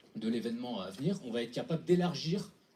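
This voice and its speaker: At a fairly quick pace, a man speaks in a somewhat breathy, dark, mellow tone with very wide pitch swings. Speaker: hackathon team presenter. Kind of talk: pitch presentation. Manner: fast; halting with fillers.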